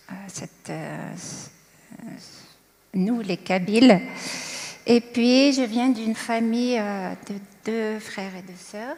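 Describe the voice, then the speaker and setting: The speech is very slow, with long, frequent pauses. Its loudness swings widely. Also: woman, fairly high pitch for a woman, ordinary pitch variation. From Algeria, Kabylie. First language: Kabyle (Berber) (speaking French). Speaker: churchgoer sharing testimony. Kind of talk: testimony. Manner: calm, composed; hesitant, many fillers.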